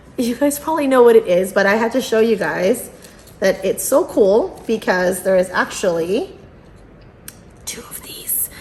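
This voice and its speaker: Against noticeable background noise, a woman with a fairly high pitch talks at a moderate pace, her tone animated and her intonation lively. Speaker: unboxing youtuber. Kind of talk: casual vlog unboxing. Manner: animated, filler-heavy.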